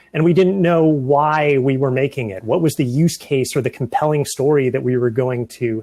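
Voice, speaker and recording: A man's fairly high-pitched voice with ordinary pitch variation, against a quiet background. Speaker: software engineer. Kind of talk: conference presentation. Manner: fast.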